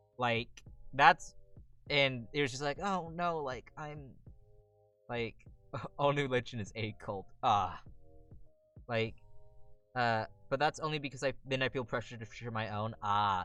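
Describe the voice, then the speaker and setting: A fairly slow pace with long, frequent pauses over music in the background. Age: young. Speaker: streamer. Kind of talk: casual chat. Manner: halting.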